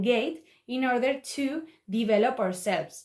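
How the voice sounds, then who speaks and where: This woman speaks with a Spanish accent in a fairly high voice. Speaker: student speaker. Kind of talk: public talk. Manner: halting.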